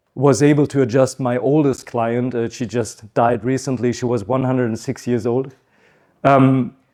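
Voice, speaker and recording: Medium pitch from a man, with a dark, mellow tone, fairly even intonation and a moderate pace, in a very clean recording with a silent background. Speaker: chiropractor, conference speaker. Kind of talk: conference talk. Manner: hesitant, with frequent fillers.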